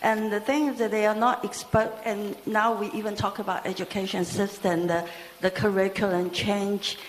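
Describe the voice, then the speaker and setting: A woman's medium-pitched voice with fairly even intonation, against noticeable background noise. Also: moderate pace. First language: not English. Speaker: audience member asking a question. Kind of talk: audience question at a talk. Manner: halting.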